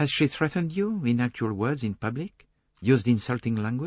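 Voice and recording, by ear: Someone is reading aloud in a natural voice with lively intonation. The background is quiet.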